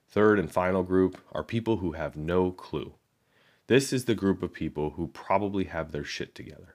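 Speaking at a moderate pace in a Chicago accent, a man with a very deep, low pitch and ordinary pitch variation is heard on a very clean recording with a silent background. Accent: Midwestern American (Chicago). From Chicago, US Midwest. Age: 30s. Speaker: podcast host. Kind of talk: reading aloud a personal essay.

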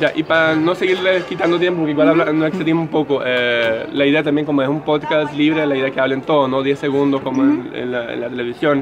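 Over noticeable background noise, a man talks at a very fast pace with hardly any pauses, in a fairly high voice with fairly even intonation. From Brazil. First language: Portuguese (speaking Spanish). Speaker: street interviewer. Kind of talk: interview. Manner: halting.

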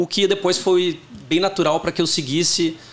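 A man talks at a moderate pace in an ordinary speaking voice. His intonation stays fairly even. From Porto Alegre, southern Brazil. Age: 40s. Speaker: tech company CEO. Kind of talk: interview.

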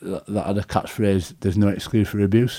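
A man speaks in a Yorkshire accent at a fairly low pitch. His intonation is monotone and flat, his tone dark and mellow. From northern England, Leeds. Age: 40s. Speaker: rugby league coach and former player. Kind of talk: interview. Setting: studio.

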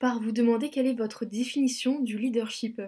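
In a very clean recording with a silent background, a woman speaks at a high pitch and moderate pace, her dark, mellow tone delivered in a monotone, flat intonation. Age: 20s. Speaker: student podcast host. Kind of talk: interview podcast.

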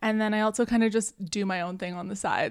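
In a Canadian accent, a woman talks at medium pitch with fairly even intonation, in a plain, everyday voice. The recording is very clean, with a silent background. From Canada. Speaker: digital marketing agency owner and podcaster. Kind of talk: casual interview.

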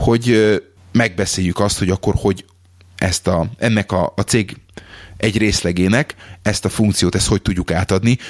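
A man at a fairly low pitch with ordinary pitch variation and a fairly slow pace, in a very clean recording with a silent background and a dry, close sound with no echo. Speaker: podcast host, office employee. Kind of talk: casual chat. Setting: lives in England.

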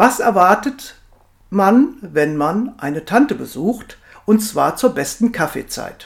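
This woman speaks very slowly with very wide pitch swings. Her pitch sits in the medium range. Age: 50s. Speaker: weight management coach. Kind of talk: podcast monologue.

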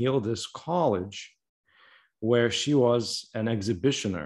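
A man speaks at a medium pitch in a plain, everyday voice, with ordinary pitch variation and a fairly slow pace. The background is quiet. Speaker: podcast host. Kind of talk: interview conversation.

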